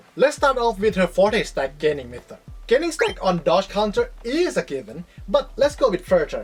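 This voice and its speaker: A woman with a non-native accent, music in the background. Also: moderate pace. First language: not English. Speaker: gaming video creator. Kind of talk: scripted commentary.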